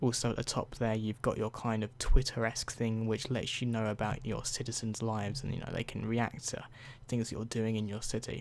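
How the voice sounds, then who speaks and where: A soft-spoken man with a British accent speaks in a monotone, flat intonation. The recording is very clean, with a silent background. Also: medium pitch for a man, fairly quick pace. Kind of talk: ASMR game review. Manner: softer than usual.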